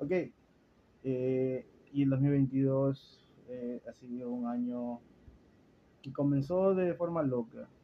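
A man's medium-pitched voice with a coastal Ecuadorian accent, fairly even in intonation, at a very slow pace with long, frequent pauses. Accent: coastal Ecuadorian (Guayaquil). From Ecuador, Guayaquil. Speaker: podcast host. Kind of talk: casual chat.

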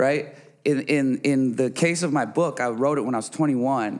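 This very clean recording has a silent background. A man with an American accent and medium pitch talks at a moderate pace in an animated tone. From Minnesota suburbs, US Midwest. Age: 30s. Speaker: rapper and musician. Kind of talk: casual interview chat. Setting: studio.

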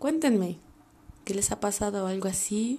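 In a Mexican accent, a woman speaks at a moderate pace with lively intonation. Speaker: podcast host. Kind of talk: casual monologue.

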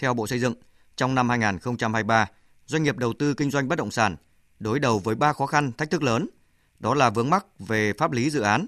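With a quiet background and a dry, close sound with no echo, a man has an unremarkable speaking voice at a medium pitch, a moderate pace and ordinary pitch variation. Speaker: radio news presenter. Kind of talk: news reading. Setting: studio.

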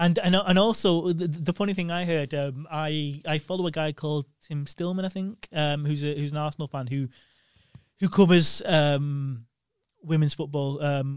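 With an unremarkable speaking voice, a man talks at a moderate pace with fairly high pitch and fairly even intonation. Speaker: podcast co-host. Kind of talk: casual banter chat.

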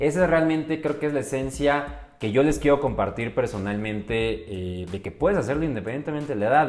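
With a Mexico City accent, a man speaks very fast with lively intonation and hardly any pauses over noticeable background noise. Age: 20s. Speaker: podcast co-host, real estate agent. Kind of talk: casual chat.

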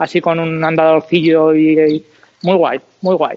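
The intonation is flat and monotone. The pace is moderate. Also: man. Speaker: podcast co-host. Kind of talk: casual chat.

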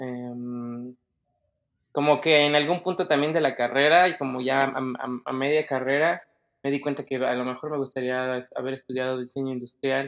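A man talks at a moderate pace and medium pitch, with fairly even intonation. He has an ordinary speaking voice. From Mexico City. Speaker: 3D designer. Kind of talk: casual interview.

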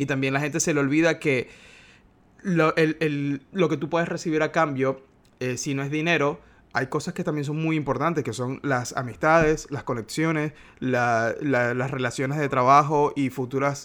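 On a very clean recording with a silent background, a man speaks in a normal speaking voice, fairly high in pitch, with fairly even intonation at a moderate pace. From Venezuela, Maracaibo. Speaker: graphic designer. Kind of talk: interview.

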